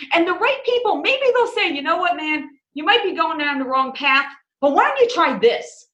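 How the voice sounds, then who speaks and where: A woman's raised, projected voice, extremely high in pitch, bright and sharp in tone, with very wide pitch swings. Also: moderate pace. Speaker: business owner in mortgage industry. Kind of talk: interview. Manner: enthusiastic.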